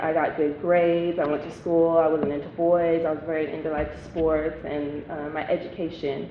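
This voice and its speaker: At a moderate pace, a woman talks amid noticeable background noise and audible room echo. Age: 20s. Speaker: former youth offender telling her story. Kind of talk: testimony. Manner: halting, many fillers.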